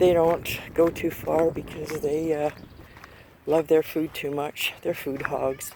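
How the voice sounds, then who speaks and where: The speech comes at a very slow pace, with noticeable background noise behind it. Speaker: homesteader vlogger. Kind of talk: casual vlog walkthrough.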